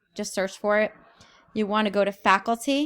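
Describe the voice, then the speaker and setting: A woman speaks at a moderate pace in a normal speaking voice. Her pitch is fairly high. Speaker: teacher. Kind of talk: tutorial.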